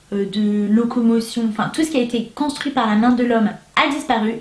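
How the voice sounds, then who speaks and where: Her tone is animated, with ordinary pitch variation. A woman speaks at a high pitch over noticeable background noise. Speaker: booktuber. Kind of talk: casual vlog review.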